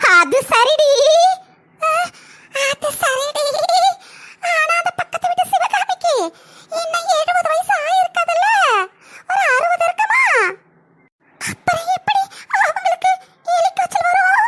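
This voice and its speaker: An extremely high, cartoonish character voice from a woman, very slow yet lively in intonation, dry and close with no echo. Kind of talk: cartoon comedy voice acting. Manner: scolding, nagging.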